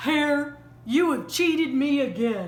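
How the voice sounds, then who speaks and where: At a fairly slow pace, a female-sounding, put-on character voice pitched high for a woman rings out with audible echo. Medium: read story. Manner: slow, grumbling.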